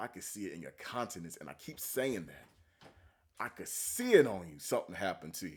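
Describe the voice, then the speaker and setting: Speaking at a fairly quick pace, a man uses an animated tone with big swings in loudness. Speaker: religious commentary youtuber. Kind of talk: reaction video commentary.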